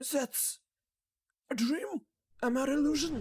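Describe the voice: The put-on character voice sounds female and sits at a high pitch for a woman. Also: moderate pace.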